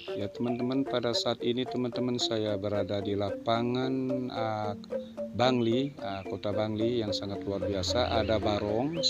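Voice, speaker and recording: Over loud background music, a man talks at a very slow pace. The sound is dry with no echo. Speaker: travel vlogger. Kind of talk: casual vlog commentary. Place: street.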